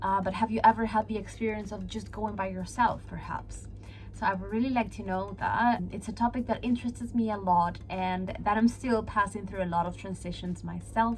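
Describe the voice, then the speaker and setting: A woman with a Peruvian accent over noticeable background noise. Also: moderate pace. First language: Spanish. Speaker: vlogger. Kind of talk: casual vlog talking to camera.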